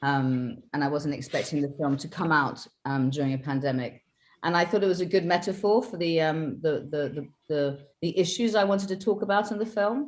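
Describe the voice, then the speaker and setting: Lively intonation at a fairly quick pace, in a British accent. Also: woman, fairly low pitch for a woman. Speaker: film director. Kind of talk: interview.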